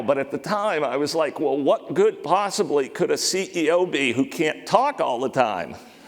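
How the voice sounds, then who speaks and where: Amid noticeable background noise, a man with an American accent speaks at a moderate pace in a high pitch, his voice making very wide pitch swings. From Maine, US. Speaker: company CEO, conference speaker. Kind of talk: conference talk. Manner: choppy, sometimes hard to hear.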